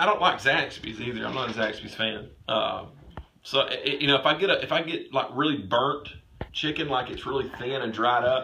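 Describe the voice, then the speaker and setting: Noticeable background noise and audible room echo surround this man's voice. He talks at a fairly quick pace in a medium pitch. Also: ordinary pitch variation. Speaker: sports show co-host. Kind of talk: casual chat. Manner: loud.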